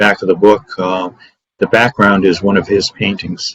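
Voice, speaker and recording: In a dry, close sound with no echo, a man speaks at a moderate pace with a fairly low pitch. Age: 70s. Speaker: author and mental health caregiver. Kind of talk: interview. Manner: halting.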